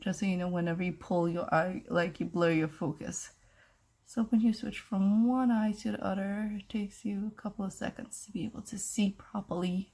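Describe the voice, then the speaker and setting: Her voice is medium-pitched, dark and mellow in tone, and somewhat breathy. The woman keeps a moderate pace with ordinary pitch variation. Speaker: beauty vlogger. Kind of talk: tutorial. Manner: casual.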